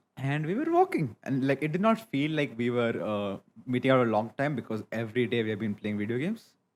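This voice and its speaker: Very fast and at a medium pitch, a man speaks with ordinary pitch variation. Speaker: podcast co-host. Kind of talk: casual chat.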